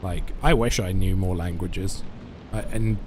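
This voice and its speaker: Against music in the background, a man with an English accent talks at a moderate pace. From England. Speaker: video game streamer. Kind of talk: live gameplay stream chat. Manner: halting.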